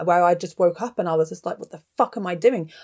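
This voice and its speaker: Fairly low in pitch, a woman speaks with an English accent and fairly even intonation. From England (Gloucestershire, raised there from age eleven). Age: 30s. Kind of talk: casual chat.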